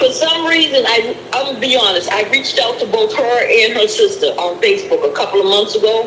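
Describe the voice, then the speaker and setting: Over background music, a woman with an American accent speaks at a fairly quick pace with hardly any pauses. Her high voice makes very wide pitch swings. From Boston. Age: 60s. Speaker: caller, spiritual counselor. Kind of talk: casual chat.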